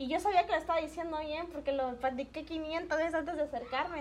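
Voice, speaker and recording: A woman with a Mexican accent, moderate pace and ordinary pitch variation. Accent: Mexican-sounding. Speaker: podcast guest. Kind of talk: casual chat.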